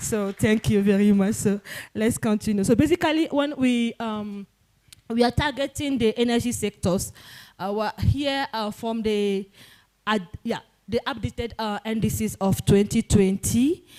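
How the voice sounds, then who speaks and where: In a dark, mellow tone, a woman speaks at a fairly high pitch with ordinary pitch variation. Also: dry, close sound with no echo. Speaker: symposium presenter. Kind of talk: conference presentation. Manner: fast; halting.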